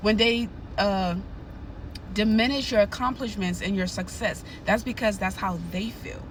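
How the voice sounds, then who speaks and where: A woman's animated, somewhat breathy voice at a medium pitch and moderate pace, with long, frequent pauses and audible room echo. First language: not English. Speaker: nurse and narcissism educator. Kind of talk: advice monologue to camera.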